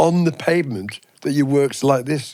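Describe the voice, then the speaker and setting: Lively intonation marks this man's speech, delivered in an English accent. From England. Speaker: podcast co-host. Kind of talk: casual chat, storytelling.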